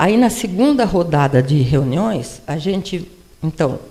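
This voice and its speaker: Over noticeable background noise, a woman speaks at a fairly low pitch. Her pace is fairly slow, with very wide pitch swings. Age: 80s. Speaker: retired professor and former city administrator. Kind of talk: personal testimony talk at a panel event. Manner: conversational, with repetitions and self-corrections.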